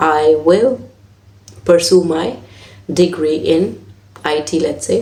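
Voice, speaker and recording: A woman with a non-native accent talks at a very deep, low pitch, her lively intonation edged with vocal fry. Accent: own non-native. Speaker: IELTS teacher. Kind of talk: tutorial.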